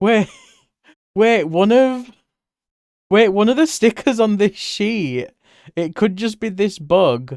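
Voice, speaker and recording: With lively intonation and a high pitch, a man speaks at a very slow pace, leaving long, frequent pauses. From Britain. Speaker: streamer and artist. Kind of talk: casual live-stream chat while drawing. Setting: live stream. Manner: animated.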